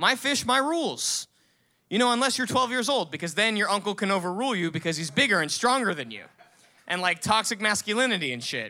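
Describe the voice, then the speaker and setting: Very fast and raised, a man's projected voice is high-pitched and bright, sharp in tone, with lively intonation on a very clean recording with a silent background. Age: 20s. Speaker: storyteller. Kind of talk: storytelling. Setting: stage with audience.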